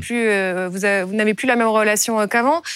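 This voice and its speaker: A woman is the speaker. She talks fairly quickly. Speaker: TV news host. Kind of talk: interview.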